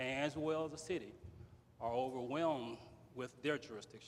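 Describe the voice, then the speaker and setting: A man speaks at a moderate pace and medium pitch. His intonation is fairly even. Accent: Louisiana. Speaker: political candidate, retired police officer. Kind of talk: candidate forum speech. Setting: community center with audience.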